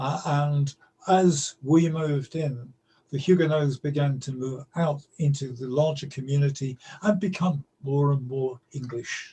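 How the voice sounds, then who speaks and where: A London accent, a dark, mellow tone and a fairly slow pace. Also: man, fairly high pitch for a man, fairly even intonation. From London, East End. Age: 70s. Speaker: storyteller. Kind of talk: interview. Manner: halting.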